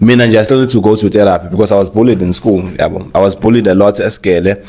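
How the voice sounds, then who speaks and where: Very fast speech from a man in a Zulu accent, fairly low in pitch, with a dark, mellow tone and fairly even intonation. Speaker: marketer and influencer. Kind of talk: casual chat. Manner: code-switching English and Zulu.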